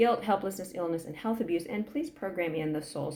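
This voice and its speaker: Noticeable background noise runs under this recording. A woman talks with a fairly low pitch and ordinary pitch variation. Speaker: energy healing practitioner. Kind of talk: guided energy clearing session. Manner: fast.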